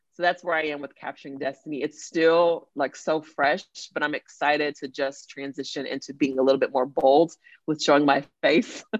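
A woman speaks at a moderate pace with a Texan accent, her pitch very deep and low. Her intonation stays flat and monotone. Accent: Texan American. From Dallas-Fort Worth, Texas. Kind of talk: casual chat.

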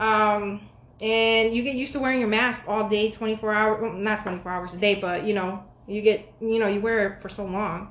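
A woman's normal speaking voice, fairly high in pitch, at a moderate pace with fairly even intonation. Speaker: podcast host.

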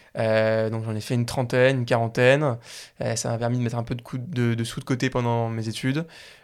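Monotone, flat delivery from a man at medium pitch and a fairly quick pace, in a very clean recording with a silent background. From Paris area, France. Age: 20s. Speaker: startup founder. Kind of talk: interview. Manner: hesitant, many fillers and repeats.

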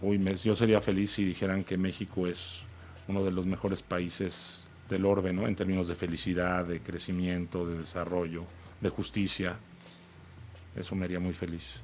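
Monotone, flat intonation marks this man's speech. He talks at a moderate pace with a very deep, low pitch. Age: 40s. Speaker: company founder. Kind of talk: interview.

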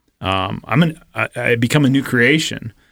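A man speaks at a fairly slow pace in an ordinary speaking voice. His pitch varies in an ordinary way. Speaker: church staff member and guest co-host. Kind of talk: casual chat. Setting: studio.

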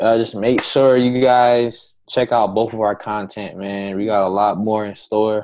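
The background is quiet as a man speaks at a moderate pace. His fairly low voice stays monotone and flat. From Rhode Island. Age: 20s. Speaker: sports entrepreneur. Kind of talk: casual chat.

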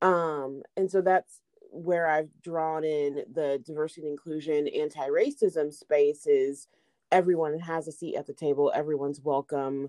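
A woman with a Midwestern American accent speaks at a moderate pace in a very deep, low voice with a dark, mellow tone. Her delivery is a flat monotone, the sound dry and close with no echo. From Indiana, Indianapolis. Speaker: private chef. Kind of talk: casual chat.

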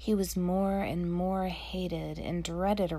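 A reading voice, unforced

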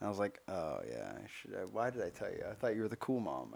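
Moving at a fairly quick pace, a man speaks in an unremarkable speaking voice. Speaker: podcast co-host. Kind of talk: casual banter comedy chat. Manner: self-deprecating, jokey.

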